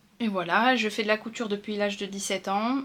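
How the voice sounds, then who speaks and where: Fairly even intonation in a woman's medium-pitched voice. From northern France. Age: 30s. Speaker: sewing and knitting vlogger. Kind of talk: casual vlog talk. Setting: at home. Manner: hesitant, many fillers.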